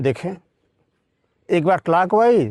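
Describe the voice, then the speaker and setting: This man's voice sits high in pitch, with lively intonation. The sound is dry and close, without any echo. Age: 70s. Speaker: yoga teacher. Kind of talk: tutorial.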